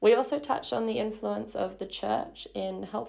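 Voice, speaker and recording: A woman with an Australian accent talks at a moderate pace. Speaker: podcast co-host. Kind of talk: casual chat; scripted intro.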